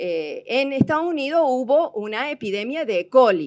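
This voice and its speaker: A woman speaks high in pitch in a Córdoba Argentine accent, with very wide pitch swings. The background is quiet. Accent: Cordoba Argentine. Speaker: technology presenter. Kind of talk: seminar talk. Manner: hesitant, many fillers.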